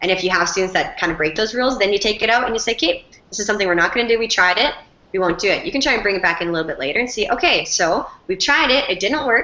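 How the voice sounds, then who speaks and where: The speech is very fast, with lively intonation and an animated tone. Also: woman, medium pitch for a woman. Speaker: teacher. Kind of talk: Q&A with class. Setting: video call.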